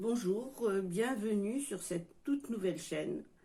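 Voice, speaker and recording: At a fairly slow pace, a woman talks in a dark, mellow tone with ordinary pitch variation. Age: 60s. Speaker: YouTuber, retiree. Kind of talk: casual vlog monologue. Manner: halting.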